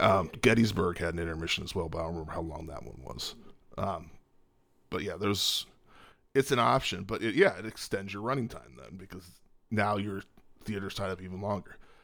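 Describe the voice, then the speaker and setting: At a fairly quick pace, a man speaks in a fairly low pitch with vocal fry, ordinary pitch variation, big swings in loudness and long, frequent pauses. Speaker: podcast co-host. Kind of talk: casual chat. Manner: playful, jokey.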